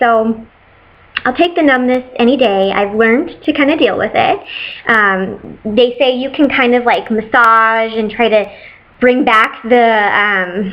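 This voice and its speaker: A woman speaks fairly slowly in a plain, everyday voice, her pitch fairly high and its variation ordinary. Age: 30s. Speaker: patient sharing surgery experience. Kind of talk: casual talk to camera.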